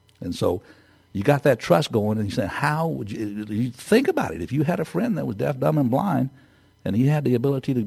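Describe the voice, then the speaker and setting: An American accent from a man at a medium pitch, dark and mellow in tone with vocal fry, lively intonation and a fairly quick pace. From Texas. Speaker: entrepreneur. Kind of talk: interview. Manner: halting.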